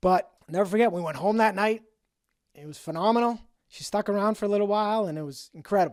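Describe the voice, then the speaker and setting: A man with a high voice and a Boston accent talks at a very fast pace, with ordinary pitch variation and big swings in loudness, on a very clean recording with a silent background. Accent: Boston accent, somewhat noticeable. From New England, Boston. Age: 50s. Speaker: sobriety podcaster. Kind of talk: personal storytelling monologue.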